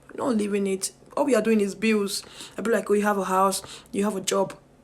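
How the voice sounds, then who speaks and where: A woman speaks at a fairly quick pace with a fairly high pitch. Noticeable background noise runs under her voice. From Nigeria. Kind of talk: casual talk to camera.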